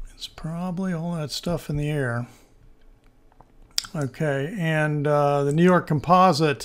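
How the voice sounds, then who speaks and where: Here a man is talking. His pitch varies in an ordinary way. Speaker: stock market analyst. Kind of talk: screen-share market analysis video. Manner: casual, hesitant with fillers.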